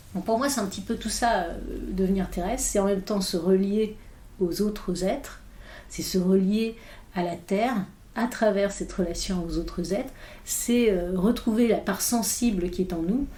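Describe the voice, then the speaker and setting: Audible room echo around a woman's medium-pitched voice, a moderate pace and ordinary pitch variation. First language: English (speaking French). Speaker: philosopher. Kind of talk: podcast interview. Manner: halting, many hesitations.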